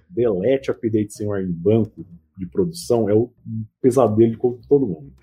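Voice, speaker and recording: At a medium pitch, a man's somewhat breathy voice moves at a moderate pace. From São Paulo ABC region (Mauá), Brazil. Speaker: IT professor. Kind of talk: casual chat.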